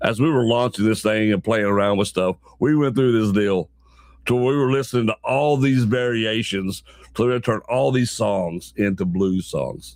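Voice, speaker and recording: Medium in pitch with ordinary variation, a man's voice moves at a moderate pace. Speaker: online show host. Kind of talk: casual live-stream chat. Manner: repetitive, conversational.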